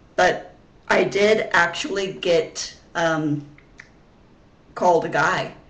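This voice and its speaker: Speech moves at a very slow pace with long, frequent pauses, over noticeable background noise. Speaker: vlogger. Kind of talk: casual vlog monologue. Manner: halting, many fillers and repeats.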